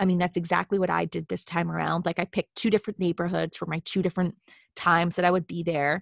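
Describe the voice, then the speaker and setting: Speaking at a very fast pace, a woman with a fairly low pitch and vocal fry keeps a monotone, flat intonation, heard as a dry, close sound with no echo on a very clean recording with a silent background. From Boston, US Northeast. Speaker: travel writer and blogger, podcast co-host. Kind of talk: casual chat.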